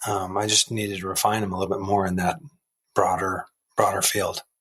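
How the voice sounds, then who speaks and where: Speaking at a moderate pace, a man uses a fairly low pitch and a bright, sharp tone. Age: 60s. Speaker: pastor and sports chaplain. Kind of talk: podcast interview. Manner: halting, repeats words.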